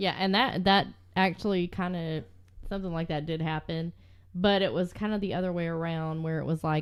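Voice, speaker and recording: The speaker has a Southern US accent and a fairly quick pace. Intonation stays fairly even. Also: woman, fairly low pitch for a woman. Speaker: true crime podcast co-host. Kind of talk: casual chat.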